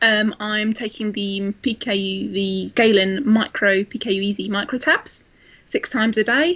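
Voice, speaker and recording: A woman with a southeast English accent, fairly high in pitch, at a moderate pace with ordinary pitch variation. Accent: south east English. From south east England, Kent. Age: 20s. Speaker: blogger and administrator with PKU. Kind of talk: casual chat. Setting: live video chat.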